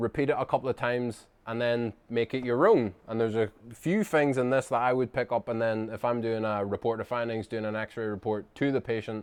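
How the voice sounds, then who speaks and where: Hardly pausing, a man with a strong Northern Irish accent talks at a medium pitch with fairly even intonation. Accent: Northern Irish, thick. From Northern Ireland. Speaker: chiropractor. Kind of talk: casual talk to camera. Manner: fast; little lip movement.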